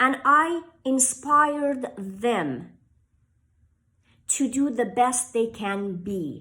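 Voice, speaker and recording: In a Persian accent, a woman talks with a bright, sharp tone and very wide pitch swings. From Iran. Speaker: author and inspirational speaker. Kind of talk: motivational talk to camera.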